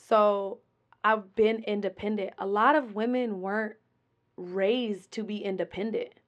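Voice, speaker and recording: A woman with an American accent has an ordinary speaking voice, pitched fairly high. She talks at a fairly slow pace with fairly even intonation. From Colorado, Denver. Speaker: rapper and businesswoman. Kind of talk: interview.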